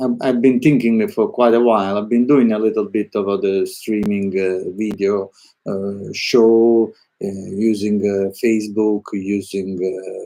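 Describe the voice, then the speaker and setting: The voice is very slow, monotone and flat, with a dark, mellow tone. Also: man. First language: Italian. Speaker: artist. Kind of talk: live stream monologue. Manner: halting, many fillers; spontaneous, unscripted.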